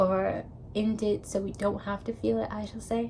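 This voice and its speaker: A woman talks at a fairly slow pace. Her medium-pitched voice is somewhat breathy. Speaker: vlogger. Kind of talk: personal vlog monologue.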